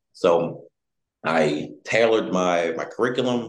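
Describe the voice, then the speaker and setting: Audible room echo surrounds a man's voice. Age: 20s. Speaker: geopolitical risk analyst and author. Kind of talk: interview.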